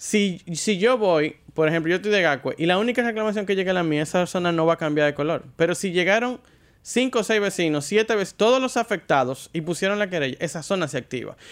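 A man speaks at a very fast pace with a Dominican accent, his pitch high and his intonation lively. The recording is very clean, with a silent background. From Dominican Republic. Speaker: car show presenter. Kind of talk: casual chat.

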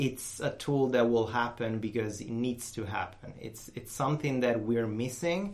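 In an Italian accent, a man talks at a moderate pace. Noticeable background noise and audible room echo surround him. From Italy, Rome. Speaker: software designer. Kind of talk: interview. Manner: talkative.

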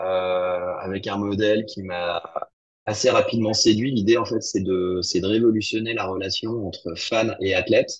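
A man talks fairly slowly in a fairly low voice. His is an ordinary speaking voice with fairly even intonation. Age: 40s. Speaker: entrepreneur. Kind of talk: interview.

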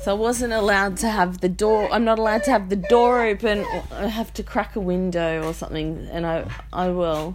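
In an Australian accent, a woman with a medium pitch talks at a fairly quick pace. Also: ordinary pitch variation. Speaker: podcast host. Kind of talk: casual monologue. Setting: bedroom at home. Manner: rambling, self-interrupting.

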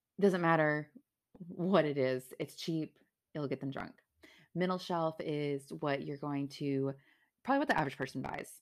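A woman speaks at a moderate pace in an animated tone and a very deep, low pitch. The recording is very clean, with a silent background. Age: 30s. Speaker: solo podcast host. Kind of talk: casual solo podcast monologue. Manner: animated, laughs often.

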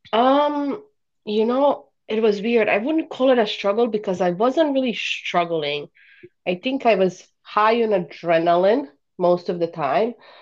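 Speaking at a fairly slow pace with a Bosnian accent, this voice has lively intonation and very even loudness. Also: woman, fairly high pitch for a woman. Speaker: life coach and podcast host. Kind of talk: casual interview chat.

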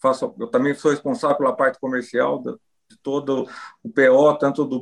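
This man has a plain, everyday voice at a medium pitch. He speaks at a moderate pace with fairly even intonation. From Brazil, Rio Claro, interior of São Paulo state. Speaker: cattle breeders' association president and rancher. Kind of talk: interview.

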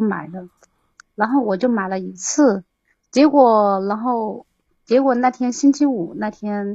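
The voice has a dark, mellow tone, moves at a very slow pace, and shows ordinary pitch variation. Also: woman. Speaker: caller, scam victim. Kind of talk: phone-in advice call. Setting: voice call into livestream. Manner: halting. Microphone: too far from the microphone.

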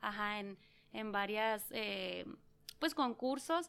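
This is a normal speaking voice. It moves at a fairly slow pace. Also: woman. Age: 30s. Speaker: small business owner and mother. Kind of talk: interview.

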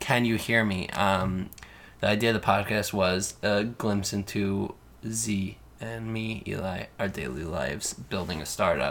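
A man speaks fairly slowly in an ordinary speaking voice. His pitch is fairly low, with ordinary pitch variation. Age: 20s. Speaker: podcast co-host, startup founder. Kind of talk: casual chat.

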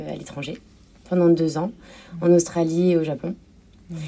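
The woman's voice is fairly low in pitch. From France, Normandy (Cherbourg). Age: 30s. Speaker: shop owner. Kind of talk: interview.

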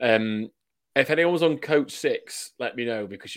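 On a very clean recording with a silent background, a man with a Yorkshire accent speaks at a fairly slow pace. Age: 20s. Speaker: rugby league fan podcast co-host. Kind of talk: casual chat.

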